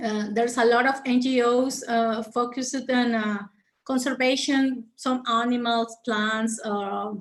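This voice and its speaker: With a Mexican accent, a woman talks at a fairly slow pace. Her high voice holds a monotone, flat intonation. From Mexico. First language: Spanish. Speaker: conservation biologist. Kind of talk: interview Q&A. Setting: video call. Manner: halting, many fillers and repetitions.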